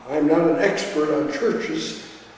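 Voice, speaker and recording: Someone with an American accent speaks at a fairly slow pace. There is noticeable background noise and audible room echo. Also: man. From US Midwest, south Minneapolis. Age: 80s+. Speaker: retired physician recalling his parish childhood. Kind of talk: oral history testimony. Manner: halting, with frequent fillers.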